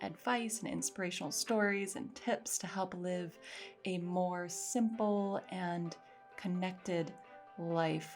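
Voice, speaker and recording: Over music in the background, a woman with a medium pitch speaks at a very slow pace with ordinary pitch variation. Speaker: podcast host. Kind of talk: podcast intro.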